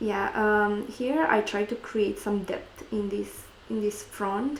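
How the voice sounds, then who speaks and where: Someone with a Romanian accent talks at a very slow pace over noticeable background noise. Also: woman, medium pitch for a woman, fairly even intonation. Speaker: gaming YouTuber and makeup artist. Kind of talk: gameplay commentary. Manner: hesitant, with many fillers.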